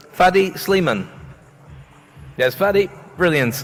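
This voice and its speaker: A man talks at a fairly slow pace with music playing in the background. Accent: northeast English. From northeast England. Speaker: awards ceremony host. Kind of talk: live event hosting. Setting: stage with audience. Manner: jokey, upbeat.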